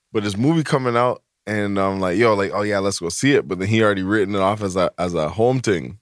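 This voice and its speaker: A man speaks at a very fast pace with hardly any pauses, fairly low in pitch with ordinary pitch variation, on a very clean recording with a silent background. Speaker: podcast co-host. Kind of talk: casual banter. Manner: laid-back, joking.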